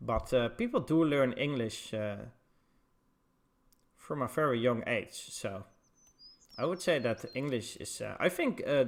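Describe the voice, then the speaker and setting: A man with a Dutch accent speaks at a fairly slow pace with ordinary pitch variation. His speech has long, frequent pauses. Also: medium pitch for a man. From Netherlands. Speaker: esports caster. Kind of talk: live commentary.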